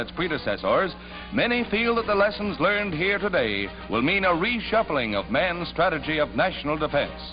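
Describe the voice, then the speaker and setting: Over music in the background, a man speaks at a moderate pace in a high, dramatic voice whose pitch swings very widely. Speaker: newsreel narrator. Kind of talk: 1940s newsreel narration. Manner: dramatic, urgent, announcer-style.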